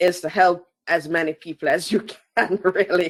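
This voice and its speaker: This is a woman speaking. She has a slight Jamaican accent. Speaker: asset management consultant. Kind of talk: interview.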